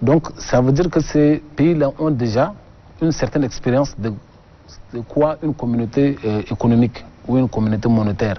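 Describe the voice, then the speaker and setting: A man of medium pitch keeps a moderate pace and ordinary pitch variation, leaving long, frequent pauses. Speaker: government export official. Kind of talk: TV interview.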